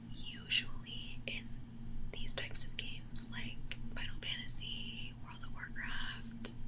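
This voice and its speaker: Someone whispers at a very slow pace. Noticeable background noise sits under the voice. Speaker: ASMR true crime streamer. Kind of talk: true crime narration, casual live stream talk. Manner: whispered.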